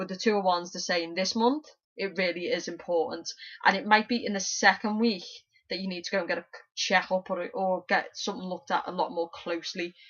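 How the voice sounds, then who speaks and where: A woman at a medium pitch, a fairly quick pace, and ordinary pitch variation. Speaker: tarot reader. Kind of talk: tarot reading monologue. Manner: fast.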